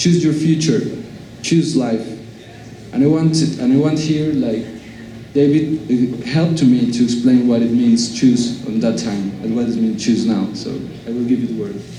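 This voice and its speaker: A fairly slow delivery with ordinary pitch variation, audible room echo and noticeable background noise. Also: man, medium pitch for a man. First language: Spanish. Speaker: university law professor. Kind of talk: lecture. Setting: auditorium with audience. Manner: halting.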